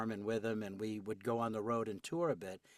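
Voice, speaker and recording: A man speaks with an American accent at medium pitch, using fairly even intonation and a fairly quick pace. It's an ordinary speaking voice on a very clean recording with a silent background. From New York City. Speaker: voice actor. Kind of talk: casual chat.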